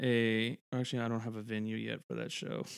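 The man's voice sits at a medium pitch. It holds a flat, monotone line. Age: 20s. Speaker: stand-up comedian. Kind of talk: casual chat.

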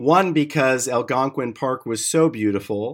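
On a very clean recording with a silent background, a man with an American accent uses a normal speaking voice, fairly slow, with ordinary pitch variation. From US Midwest, Detroit suburbs. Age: 50s. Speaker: clean tech business founder. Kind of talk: interview.

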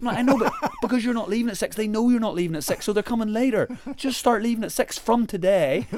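A man with an Irish accent, high pitch, ordinary pitch variation and a very fast pace, over noticeable background noise. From Ireland. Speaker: travel blogger and adventurer. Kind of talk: casual interview chat.

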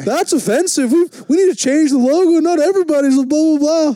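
Putting on a character voice, a man talks at a fairly quick pace in an extremely high pitch, with light background noise. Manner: mocking, joking.

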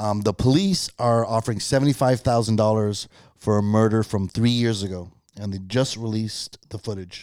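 On a very clean recording with a silent background, a man mumbles at a moderate pace and a fairly low pitch, with fairly even intonation. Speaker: podcast co-host. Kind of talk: casual chat. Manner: mumbling.

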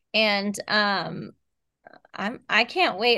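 In a quiet background, a woman with an American accent speaks at a fairly high pitch in a bright, sharp tone with ordinary pitch variation. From Texas. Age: 30s. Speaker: horror novelist. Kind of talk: casual interview chat.

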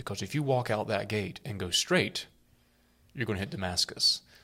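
A man with a bright, sharp tone and fairly low pitch talks at a moderate pace with ordinary pitch variation. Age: 40s. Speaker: priest and podcast co-host. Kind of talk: casual chat. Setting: makeshift studio.

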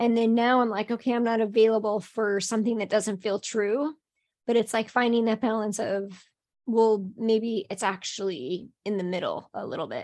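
With a plain, everyday voice, a woman of fairly high pitch speaks at a moderate pace with fairly even intonation over a quiet background. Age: 40s. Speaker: business coach and author. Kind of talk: casual chat.

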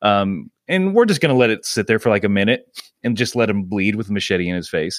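In an American accent, a man speaks at a fairly low pitch with ordinary pitch variation, in an ordinary speaking voice. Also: fairly quick pace. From US South, Georgia. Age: 30s. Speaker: comedy podcast co-host and improviser. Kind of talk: casual chat.

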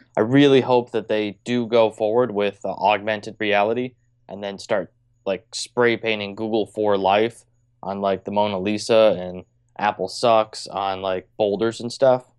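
Speaking in a monotone, flat way, a man has a fairly low pitch. The sound is dry and close with no echo, over a quiet background. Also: fairly slow pace. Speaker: co-host. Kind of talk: casual banter. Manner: joking, casual.

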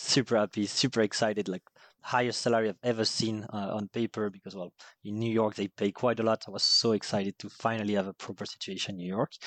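In a French accent, a man with a fairly low pitch speaks at a very fast pace in a monotone, flat delivery, with a dry, close sound and no echo. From southern France, Marseille area. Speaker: head of sales. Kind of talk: casual interview.

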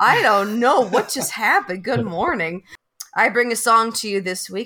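Putting on a character voice, a woman speaks raspy and gruff at a fairly high pitch and a moderate pace. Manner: gruff morning voice.

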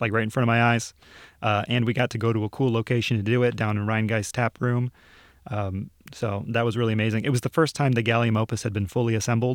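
Very fast speech in a Midwestern American accent comes with fairly even intonation and very even loudness, in a very clean recording with a silent background. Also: man, medium pitch for a man. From northern Ohio. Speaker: museum video producer. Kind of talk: casual interview.

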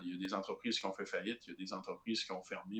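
His intonation fairly even, a man talks at a fairly low pitch. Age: 20s. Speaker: political candidate. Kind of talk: podcast interview. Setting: remote call. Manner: halting, many repetitions.

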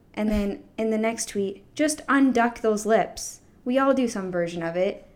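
A woman with an American accent talks at a moderate pace and fairly high pitch. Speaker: podcast co-host. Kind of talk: casual chat. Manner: monotone.

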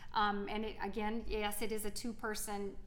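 A woman speaks at a moderate pace with an American accent and ordinary pitch variation. The room echo is audible, and background noise is noticeable. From South Carolina. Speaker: theater teacher and actor. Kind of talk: casual interview.

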